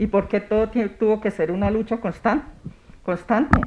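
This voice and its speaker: Against noticeable background noise, a woman talks at a moderate pace with a fairly high pitch and fairly even intonation. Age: 60s. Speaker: women's rights councillor. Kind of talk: TV interview.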